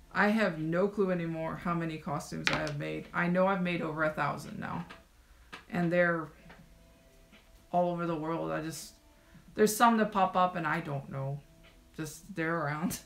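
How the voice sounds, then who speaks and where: Over noticeable background noise, a woman with a fairly low pitch speaks with fairly even intonation and long, frequent pauses. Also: moderate pace. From Colombia. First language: Spanish. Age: 30s. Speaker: costume maker and streamer. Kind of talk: casual live stream chat while working. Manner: casual, filler-heavy.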